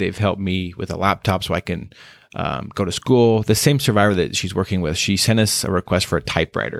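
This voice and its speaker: A man with an American accent and a very deep, low pitch talks at a fairly quick pace with ordinary pitch variation, the sound dry and close with no echo. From Wyoming, US. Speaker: anti-trafficking worker. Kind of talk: interview.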